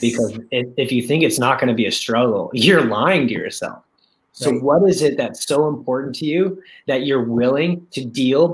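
A man's normal speaking voice, medium in pitch, at a moderate pace with ordinary pitch variation. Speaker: guest speaker, network marketing coach. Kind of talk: casual, motivational.

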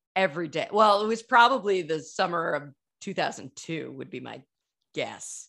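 A woman with an unremarkable speaking voice talks at a moderate pace and medium pitch, her lively intonation paired with big swings in loudness against a quiet background. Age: 40s. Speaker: podcast host. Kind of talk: casual chat.

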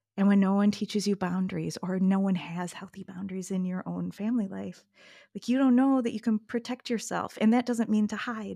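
A woman speaks at a fairly quick pace with fairly even intonation and a medium pitch. Her tone is dark and mellow, somewhat breathy, on a very clean recording with a silent background. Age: 50s. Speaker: pattern-maker and yoga teacher. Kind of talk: casual interview.

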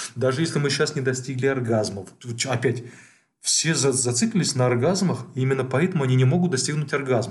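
Talking at a very fast pace, a man with a medium-pitched, somewhat breathy voice uses ordinary pitch variation, with audible room echo around him. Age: 40s. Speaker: psychologist podcast co-host. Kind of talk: casual chat.

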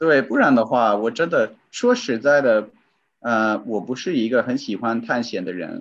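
Against a quiet background, a man with an English accent speaks fairly slowly at medium pitch with ordinary pitch variation. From US. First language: English (speaking Chinese). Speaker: voice-over recorder, former Chinese learner. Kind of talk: interview. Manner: halting, many fillers.

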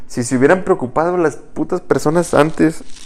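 A man with a Mexican accent. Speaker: podcast co-host. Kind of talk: casual chat.

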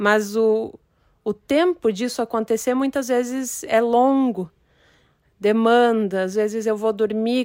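Here is a woman with a normal speaking voice, pitched fairly high. Her intonation stays fairly even on a very clean recording with a silent background. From Brazil. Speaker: poet. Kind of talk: interview.

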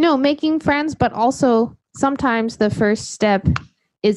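A woman talks at a fairly slow pace in a plain, everyday voice. The sound is dry and close with no echo, and the background is quiet. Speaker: podcast host teaching English to Japanese learners. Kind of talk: casual conversation. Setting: video call.

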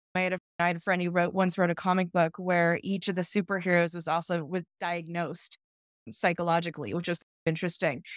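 A woman with a General American accent at a very fast pace, on a very clean recording with a silent background and a dry, close sound with no echo. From California. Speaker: wildlife photographer and biologist. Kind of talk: casual interview.

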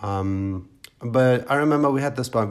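Somewhat breathy, a man with a German accent speaks with ordinary pitch variation. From East Germany, Brandenburg. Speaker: podcaster. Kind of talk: personal storytelling monologue. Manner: conversational with frequent fillers.

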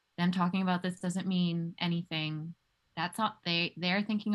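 A woman speaks with a fairly low pitch and a somewhat breathy quality. The recording is very clean, with a silent background. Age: 20s. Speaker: health coach. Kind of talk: interview.

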